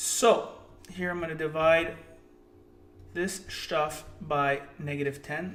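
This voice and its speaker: A man with a high voice speaks over background music, with audible echo in the room. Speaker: math teacher. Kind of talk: tutorial. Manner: animated.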